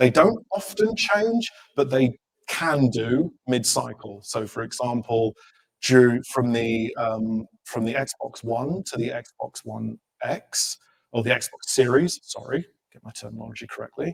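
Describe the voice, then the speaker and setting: A man talks at a fairly slow pace with big swings in loudness, in a dry, close sound with no echo. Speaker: technical product manager giving a conference talk. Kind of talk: conference presentation. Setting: stage with audience.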